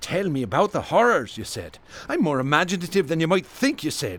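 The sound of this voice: A man does a put-on character voice at a fairly quick pace. His fairly high, fairly bright voice makes very wide pitch swings.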